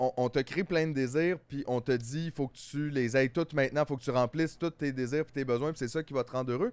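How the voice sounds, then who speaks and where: In a Quebec accent, a man speaks at a very fast pace with a dry sound that has no echo. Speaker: comedian podcast co-host. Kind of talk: casual chat. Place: studio. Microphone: studio mic.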